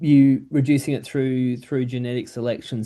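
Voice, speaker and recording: A man speaks in a dark, mellow tone with an American accent. His pitch varies in an ordinary way against a quiet background. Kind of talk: professional, interview question.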